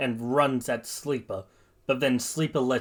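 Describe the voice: Fairly even intonation in plain reading aloud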